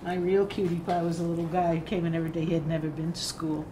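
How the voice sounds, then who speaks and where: Over noticeable background noise and audible room echo, a woman with a fairly low pitch talks at a fairly quick pace in a monotone, flat intonation. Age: 60s. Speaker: former volunteer teacher. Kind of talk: group reminiscence. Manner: casual.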